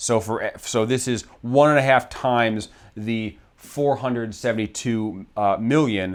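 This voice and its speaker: With hardly any pauses, a man talks at a medium pitch with fairly even intonation. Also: very clean recording, silent background. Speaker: investing channel host, financial analyst. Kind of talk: tutorial. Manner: fast; casual, with fillers and self-corrections.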